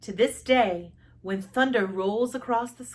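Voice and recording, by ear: Someone reads the text aloud naturally. The pitch varies an ordinary amount.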